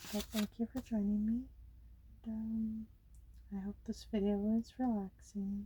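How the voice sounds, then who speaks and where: A woman with an American accent speaks at a fairly slow pace and medium pitch, with long, frequent pauses. Her voice is somewhat breathy and dark, mellow in tone, with monotone, flat intonation. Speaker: ASMR creator. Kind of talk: ASMR coloring chat. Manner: casual, rambling filler words.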